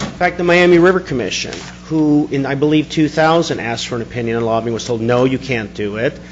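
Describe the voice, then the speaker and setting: Very fast, fairly high-pitched speech from a man, with ordinary pitch variation, over noticeable background noise. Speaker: public commenter at board meeting. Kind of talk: public comment.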